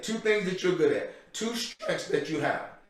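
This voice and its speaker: A loud man speaks with ordinary pitch variation. Audible room echo and noticeable background noise surround him. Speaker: guest speaker for mentoring program. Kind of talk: motivational talk. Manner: loud, pumped up.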